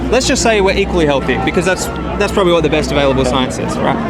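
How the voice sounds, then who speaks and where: A man with an Australian accent and a fairly high pitch, lively intonation, audible room echo and crowd noise in the background. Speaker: vegan activist. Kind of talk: street debate. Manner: persistent, fast questioning.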